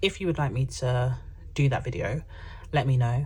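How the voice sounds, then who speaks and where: The speaker has a London accent and sounds somewhat breathy. Audible room echo surrounds the voice. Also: woman. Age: young. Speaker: personal finance YouTuber. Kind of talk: casual chat. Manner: chatty, filler-heavy.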